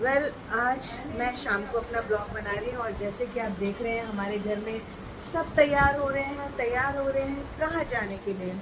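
Her high voice moves at a fairly slow pace while noticeable background noise runs underneath. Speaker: family vlogger. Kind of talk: casual vlog chat. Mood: cheerful festive.

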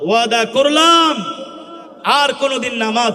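An energetic male voice with ordinary pitch variation over noticeable background noise. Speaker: Islamic preacher and Quran reciter. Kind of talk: Islamic sermon (waz) delivered to a live crowd with call-and-response. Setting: outdoor public gathering, addressing a large crowd. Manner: loud, energetic, rhetorical, urging the crowd to respond.

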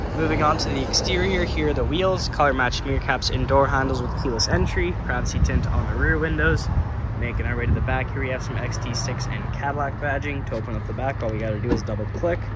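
Over loud background noise, a man talks at a very fast pace. He takes hardly any pauses. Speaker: presenter. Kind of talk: product walkthrough commentary. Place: car. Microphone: phone near.

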